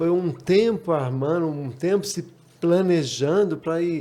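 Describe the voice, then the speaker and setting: Talking at a fairly slow pace, a man with a high pitch and a dark, mellow tone shows ordinary pitch variation. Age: 60s. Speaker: rally driver. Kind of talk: casual chat.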